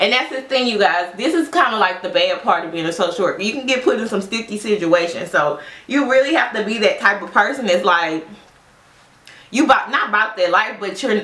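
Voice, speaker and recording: A woman's lively intonation at a fairly quick pace, with noticeable background noise and audible room echo. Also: medium pitch for a woman. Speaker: social worker and beauty vlogger. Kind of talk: casual get-ready-with-me chat. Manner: loud; animated.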